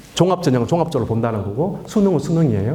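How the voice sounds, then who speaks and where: Over noticeable background noise and audible room echo, a man with a fairly high pitch talks in an animated tone with lively intonation. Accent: Daegu. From Daegu, South Korea. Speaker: education lecturer. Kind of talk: public lecture to parents. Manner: animated, rhetorical questions.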